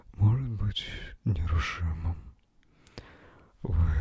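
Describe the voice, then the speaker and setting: A soft-spoken man whispers, somewhat breathy, in a dry sound with no echo. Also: quiet background. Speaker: relaxation guide. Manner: soft slow ASMR whisper close to mic. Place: home room. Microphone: handheld.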